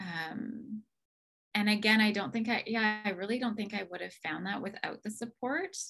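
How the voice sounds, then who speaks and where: The tone is bright and sharp. Pitch varies in an ordinary way at a moderate pace. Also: woman. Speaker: client in a coaching program, somatic healer. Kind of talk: casual interview chat.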